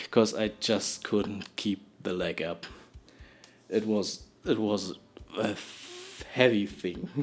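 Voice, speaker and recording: A man's very slow speech in a strong non-native accent, fairly low in pitch with fairly even intonation, broken by long, frequent pauses over noticeable background noise. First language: not English. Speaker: storytime vlogger. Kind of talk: storytelling monologue. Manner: halting, many repetitions and false starts.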